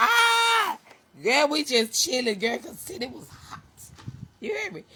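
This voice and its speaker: A woman talks at a moderate pace in an animated tone. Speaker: vlogger. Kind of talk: casual monologue. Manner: loud.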